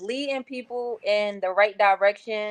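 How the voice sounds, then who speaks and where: A woman speaks in a Philadelphia accent with ordinary pitch variation. The background is quiet. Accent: Philadelphia accent, noticeable. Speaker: college football assistant coach. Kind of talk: casual interview.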